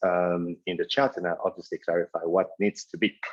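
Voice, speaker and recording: With a strong French accent, a man talks at a moderate pace with ordinary pitch variation in a dry, close sound with no echo. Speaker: keynote speaker, agency founder. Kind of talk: webinar presentation. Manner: hesitant, many fillers.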